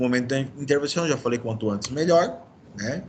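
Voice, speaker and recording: A man's speech shows ordinary pitch variation, with audible room echo around it. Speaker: medical lecturer (orthopedics). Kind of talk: lecture. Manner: fast.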